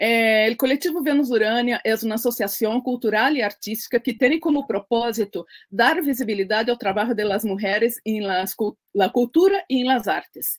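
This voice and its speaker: With a Portuguese accent, a woman speaks at a fairly high pitch and a moderate pace, with hardly any pauses. Her pitch variation is ordinary, and the background is quiet. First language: Portuguese (speaking Spanish). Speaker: cultural association founder and host; host of an online interview series. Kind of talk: interview. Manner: halting, with many fillers. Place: home room.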